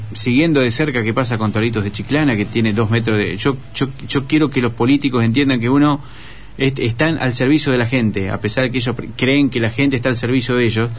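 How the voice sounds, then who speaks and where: With a normal speaking voice at medium pitch, a man talks at a fairly quick pace, with fairly even intonation and very even loudness. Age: 40s. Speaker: writer and journalist. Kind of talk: radio interview.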